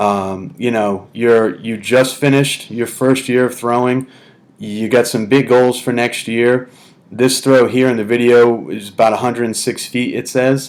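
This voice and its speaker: Speaking in a New England accent, a man keeps a medium pitch, fairly even intonation and a fairly slow pace. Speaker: throwing coach. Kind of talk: video tutorial / technique analysis. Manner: casual, conversational.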